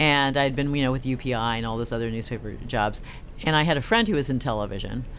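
In an American accent, a woman speaks with a very deep, low pitch, and audible room echo surrounds her. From California, San Francisco Bay Area. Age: 40s. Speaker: investigative TV reporter. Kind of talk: casual interview.

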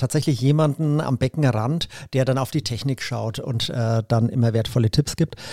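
At a moderate pace, a man talks with a dark, mellow tone in a dry, close sound that has no echo. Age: 50s. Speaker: triathlete and teacher. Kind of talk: casual interview. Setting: studio couch.

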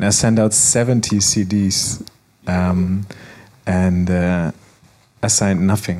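The voice moves very slowly in a flat monotone, with long, frequent pauses. Loudness stays very even, and there is noticeable background noise. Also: man, very deep, low pitch for a man. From Germany, Frankfurt. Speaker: DJ and music producer. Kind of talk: panel interview. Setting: stage with audience.

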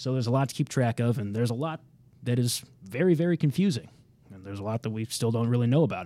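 A man at a very fast pace, lively in intonation, with big swings in loudness. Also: medium pitch for a man. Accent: Midwestern American. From Kansas City, Missouri. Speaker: TV meteorologist. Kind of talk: casual interview. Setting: studio.

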